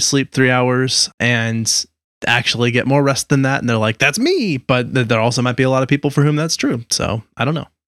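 A man with an ordinary speaking voice at medium pitch talks at a fairly quick pace with fairly even intonation, the sound dry and close with no echo. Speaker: podcast host. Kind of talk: casual chat. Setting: video call.

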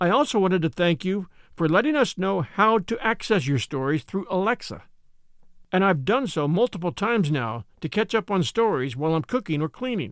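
In a dry, close sound with no echo, a man talks at a fairly quick pace and a high pitch, his voice making very wide pitch swings. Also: very clean recording, silent background. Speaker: podcast narrator and host. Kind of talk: casual direct address to listeners. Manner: careful diction.

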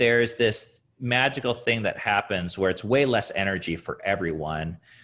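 A man with an American accent speaks at a fairly slow pace, his voice carrying vocal fry and very wide pitch swings. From US Pacific Northwest, Seattle area. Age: 30s. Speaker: author and thru-hiker. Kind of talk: casual interview chat.

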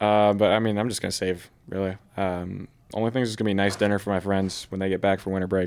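A man talks very fast with fairly low pitch and monotone, flat intonation. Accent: American. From Oregon. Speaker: baseball player. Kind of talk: interview.

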